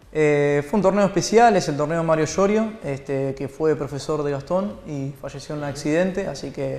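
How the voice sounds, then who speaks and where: A man talks at a moderate pace with hardly any pauses. His pitch varies an ordinary amount. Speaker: guest. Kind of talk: interview answer. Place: studio.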